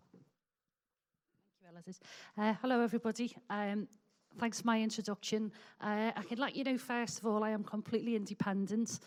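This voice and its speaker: A woman with a Liverpool accent and a fairly high pitch talks at a fairly quick pace with fairly even intonation, long, frequent pauses and big swings in loudness. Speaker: meeting chairperson. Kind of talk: public meeting chairing. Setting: public meeting in a hall with audience.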